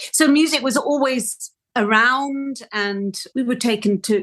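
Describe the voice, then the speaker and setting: A woman speaks with a Welsh accent. Her pitch variation is ordinary. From Wales. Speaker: orchestral flautist. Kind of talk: interview conversation. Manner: hesitant, with self-corrections.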